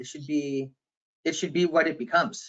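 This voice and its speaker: In a bright, sharp tone, a man speaks fairly quickly. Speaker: digital marketing consultant. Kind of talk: webinar discussion. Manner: loud.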